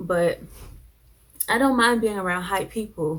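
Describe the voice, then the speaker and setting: This woman has an American accent. Her pitch sits at a medium level. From New Jersey. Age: 20s. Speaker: YouTuber, college student. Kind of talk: casual Q&A vlog. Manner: laid back.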